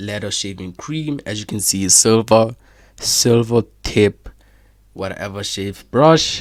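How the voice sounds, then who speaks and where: A man with a non-native accent speaks at a fairly slow pace in a fairly low pitch, with ordinary pitch variation, on a very clean recording with a silent background. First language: not English. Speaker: AI chatbot developer demoing product. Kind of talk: screen-share product demo. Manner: casual, filler-heavy.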